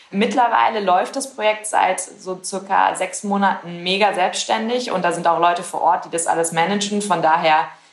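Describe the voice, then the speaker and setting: A woman speaks at a moderate pace amid noticeable background noise. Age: 20s. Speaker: startup founder. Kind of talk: interview.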